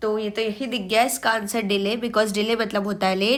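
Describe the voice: A woman's fairly high, fairly bright voice at a moderate pace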